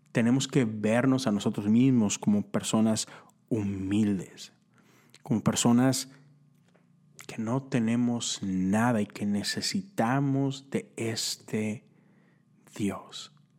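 With a northern Mexican accent, a man speaks at a very slow pace, leaving long, frequent pauses. His intonation stays fairly even. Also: medium pitch for a man. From northern Mexico (Monterrey, Nuevo León). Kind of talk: devotional talk. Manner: casual, conversational.

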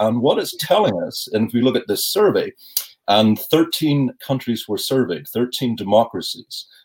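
A man's normal speaking voice at a medium pitch. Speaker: university professor. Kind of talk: interview.

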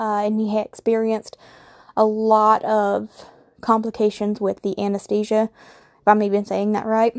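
In a Southern US accent, a woman with a fairly high pitch speaks at a moderate pace with monotone, flat intonation, the sound dry and close with no echo. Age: 20s. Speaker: podcast host. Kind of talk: casual monologue.

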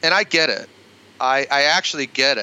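Recorded dry and close with no echo, a man speaks in a bright, sharp tone at a moderate pace, his pitch varying in an ordinary way. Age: 50s. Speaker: pastor. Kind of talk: interview conversation.

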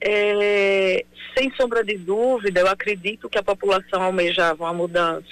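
A woman speaks in an ordinary speaking voice at medium pitch. Her pace is fairly slow, with ordinary pitch variation. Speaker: elected mayor. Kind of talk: radio interview.

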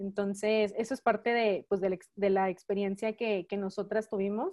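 A woman speaks in a normal speaking voice at a fairly slow pace, with fairly even intonation over a quiet background. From Mexico. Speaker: church member. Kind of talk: testimony.

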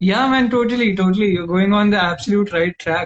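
A man with an Indian accent speaks at a fairly quick pace. His pitch is high, with ordinary variation. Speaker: podcast host. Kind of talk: casual interview chat. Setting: video call.

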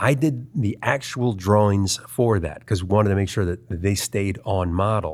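A man with an American accent and an ordinary speaking voice, fairly low in pitch, at a fairly slow pace, on a very clean recording with a silent background. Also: ordinary pitch variation. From US, Baltimore, Maryland. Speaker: animation artist. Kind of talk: interview, casual chat.

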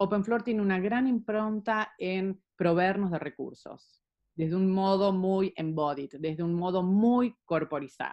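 A woman with an ordinary speaking voice at medium pitch, fairly slow in pace with hardly any pauses and ordinary pitch variation. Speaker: psychologist and movement therapist. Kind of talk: interview.

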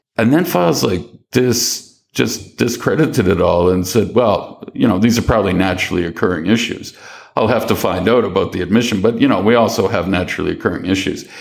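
Fairly low in pitch, a man talks at a fairly quick pace with ordinary pitch variation. His loudness stays very even. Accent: Maritime Canadian. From Halifax, Nova Scotia, Canada. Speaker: online newspaper editor. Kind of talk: casual interview about news and politics.

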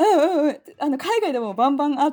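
High-pitched, a woman talks fairly quickly. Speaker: podcaster, mother. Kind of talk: casual chat. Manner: animated.

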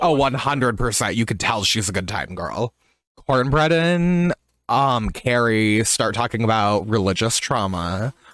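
A man with a plain, everyday voice at a medium pitch, fairly slow with lively intonation, on a very clean recording with a silent background. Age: 20s. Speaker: drag podcast co-host. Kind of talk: casual chat.

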